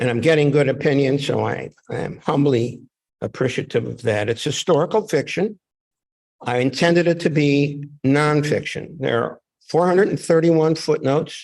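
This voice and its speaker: Vocal fry runs through this man's speech, delivered at a moderate pace. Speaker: author. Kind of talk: reading event talk. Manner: loud.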